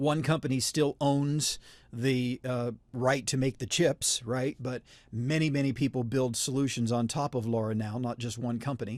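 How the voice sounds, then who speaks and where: A man talks at a moderate pace with a slight West Virginia accent. His pitch is medium and his intonation fairly even. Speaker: wireless networking instructor. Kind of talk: webinar presentation. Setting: online webinar. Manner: many fillers (uh, um).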